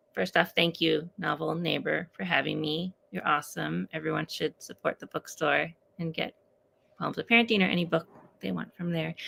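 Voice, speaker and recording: A soft-spoken woman in a dry, close sound with no echo. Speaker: author and poet. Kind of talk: casual chat. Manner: quiet, talking softly.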